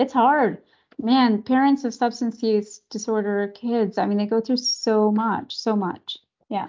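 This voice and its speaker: A woman with a Canadian accent speaks in an unremarkable speaking voice with fairly even intonation. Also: fairly high pitch for a woman, fairly slow pace. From Canada. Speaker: pediatrician. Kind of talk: interview.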